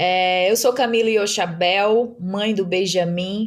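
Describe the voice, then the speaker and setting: With a northeastern Brazilian accent, a woman speaks at a very slow pace. Her pitch is medium and her intonation fairly even. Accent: northeastern Brazilian, kept. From Brazilian Northeast, Mossoró, Rio Grande do Norte. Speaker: startup founder and CEO. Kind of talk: podcast interview. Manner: hesitant, many fillers.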